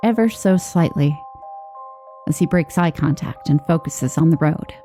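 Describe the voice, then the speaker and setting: Music plays behind a woman with a fairly low pitch. Her pace is moderate and her pitch variation ordinary. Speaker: horror story narrator. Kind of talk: horror story narration.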